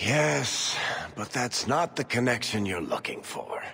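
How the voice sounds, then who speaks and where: A man does a put-on character voice at a fairly slow pace and medium pitch. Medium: machinima. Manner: wry, conversational.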